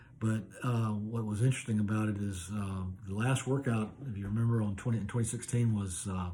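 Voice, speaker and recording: A man's dark, mellow, somewhat breathy voice at a fairly low pitch, with an American accent, fairly even intonation, a fairly quick pace and audible room echo. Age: 60s. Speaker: masters athlete. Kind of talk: video application monologue. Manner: casual with frequent fillers.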